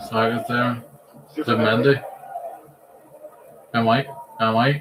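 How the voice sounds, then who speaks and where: Against noticeable background noise, a man of medium pitch speaks at a fairly slow pace with fairly even intonation. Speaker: football watch-along streamer. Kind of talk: live commentary.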